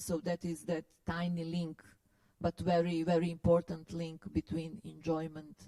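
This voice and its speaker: At a very slow pace, a woman with a non-native accent speaks in a very deep, low pitch and a dark, mellow tone, recorded dry and close with no echo. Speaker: philosopher and curator giving a lecture. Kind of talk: lecture Q&A. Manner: hesitant, many fillers.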